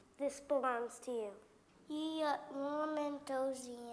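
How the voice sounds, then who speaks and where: A female-sounding voice performs a put-on character voice at a high pitch. The pace is fairly slow. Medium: stage play. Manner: gentle, earnest.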